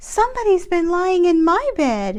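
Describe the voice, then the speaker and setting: Squeaky put-on character voice from a woman, pitched extremely high and delivered at a moderate pace. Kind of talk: bedtime story. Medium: read story.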